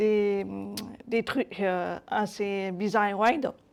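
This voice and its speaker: A woman speaks at a very slow pace with a medium pitch. Her intonation is monotone and flat, and the recording is very clean with a silent background. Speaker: web developer and accessibility speaker. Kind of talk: conference talk with live demo. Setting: meet-up talk. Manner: hesitant, many fillers.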